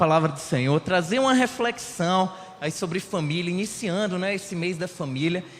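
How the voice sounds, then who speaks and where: A man with a high pitch speaks at a moderate pace and ordinary pitch variation. Noticeable background noise sits behind him. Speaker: lay preacher. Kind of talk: sermon. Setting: church.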